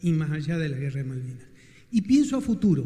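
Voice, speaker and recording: A man's dark, mellow tone comes at a fairly quick speed. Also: quiet background. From Patagonia, Santa Cruz, Argentina; Santa Cruz, Argentina. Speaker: audience member. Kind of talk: audience question. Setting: event hall with audience. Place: hall. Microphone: handheld.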